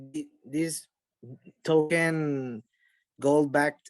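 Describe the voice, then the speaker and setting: The recording is dry and close, without any echo. It carries a man's fairly high pitch. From Venezuela. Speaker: bitcoin gamer. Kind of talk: podcast interview. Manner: halting.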